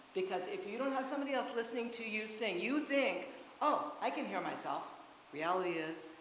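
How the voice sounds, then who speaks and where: Heard over noticeable background noise and audible room echo, the voice moves at a fairly quick pace with ordinary pitch variation. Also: woman. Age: 60s. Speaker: choir workshop leader and voice teacher. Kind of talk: workshop talk with questions. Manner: loud; halting, with many fillers.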